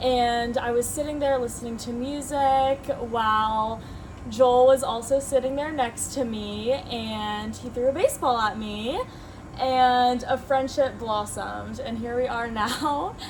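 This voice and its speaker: A woman speaks in a high pitch at a fairly slow pace. Noticeable background noise is present. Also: fairly even intonation. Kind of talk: podcast intro.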